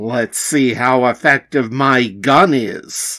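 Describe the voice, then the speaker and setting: A man speaks very slowly in a raspy, medium-pitched put-on character voice. The recording is very clean, with a silent background. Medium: read story. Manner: bold, action-hero.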